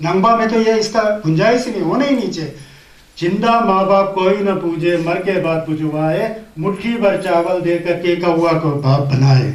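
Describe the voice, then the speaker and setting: With audible room echo and noticeable background noise, a man speaks at a high pitch with ordinary pitch variation. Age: 60s. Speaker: Buddhist teacher. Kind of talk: dharma talk.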